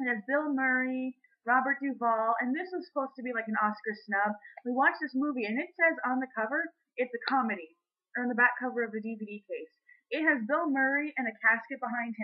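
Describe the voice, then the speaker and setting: A woman speaks in an animated tone with a high pitch. Her pace is fairly quick, and her pitch variation is ordinary. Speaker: teacher. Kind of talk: casual video blog.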